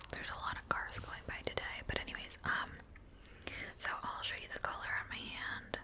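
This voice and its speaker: Noticeable background noise fills the clip. Over it, a woman whispers. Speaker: ASMR creator. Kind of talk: casual talk to camera, beauty product review. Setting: home recording with a microphone. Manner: soft-spoken, chatty.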